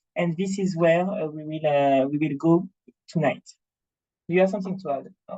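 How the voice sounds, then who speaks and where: The speaker has a Martinique accent and talks at a fairly quick pace. Long pauses come often. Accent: French Caribbean (Martinique). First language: French. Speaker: rum brand representative. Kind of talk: presentation at online tasting. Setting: online video event. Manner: halting with many fillers.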